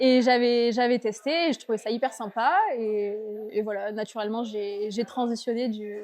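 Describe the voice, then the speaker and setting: Noticeable background noise sits behind a woman who speaks at a moderate pace with fairly high pitch and fairly even intonation. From southern France, Avignon. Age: 20s. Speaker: surfskater. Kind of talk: casual interview.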